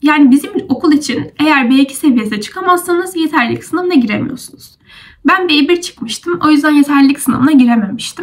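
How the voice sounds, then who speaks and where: A high-pitched woman's voice at a fairly quick pace, with ordinary pitch variation. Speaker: university student vlogger. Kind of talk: casual explanatory vlog. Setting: at home.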